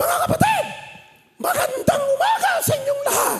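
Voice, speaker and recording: A put-on character voice comes through at an extremely high pitch. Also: moderate pace. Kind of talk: preaching style. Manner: exaggerated, enthusiastic sermon tone.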